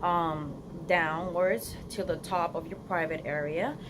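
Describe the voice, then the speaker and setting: Ordinary pitch variation, audible room echo and music in the background. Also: woman. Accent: Spanish. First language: Spanish. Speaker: beauty vlogger. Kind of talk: casual vlog to camera.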